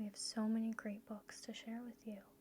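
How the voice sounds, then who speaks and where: A soft-spoken woman with a fairly high pitch talks in a gentle tone. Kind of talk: ASMR bookstore role play. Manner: soft-spoken, gentle.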